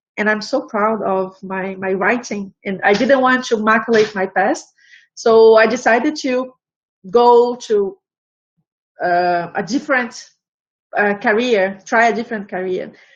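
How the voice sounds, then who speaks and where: With a Portuguese accent, a woman speaks in a fairly high pitch. Her pace is fairly slow, broken by long, frequent pauses. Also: ordinary pitch variation. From Brazil. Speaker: embroidery artist and knitting teacher. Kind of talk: interview. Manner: halting.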